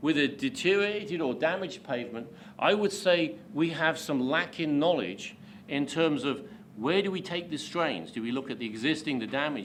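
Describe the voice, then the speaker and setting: A man with a British accent, fairly high pitch, fairly quick pace and lively intonation, with audible room echo. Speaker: pavement engineering expert, invited speaker. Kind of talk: lecture. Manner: hesitant, many fillers.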